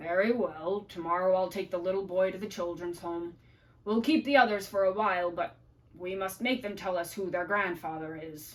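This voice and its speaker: Putting on a character voice, a woman sounds raspy at a medium pitch and a moderate pace. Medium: read story.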